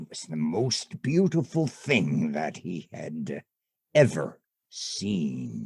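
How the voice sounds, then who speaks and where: In a put-on character voice, a man speaks at a very deep, low pitch. His pace is very slow. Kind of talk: bedtime story. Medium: stage play. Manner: measured, wry.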